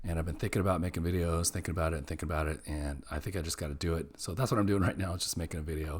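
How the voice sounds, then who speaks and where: A man does a put-on character voice, very deep, low and raspy. He talks at a very fast pace with fairly even intonation. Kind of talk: casual, conversational.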